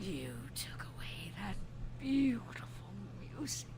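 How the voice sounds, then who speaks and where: A put-on character voice at a fairly slow pace, under loud background noise. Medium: game stream. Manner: theatrical, unhinged.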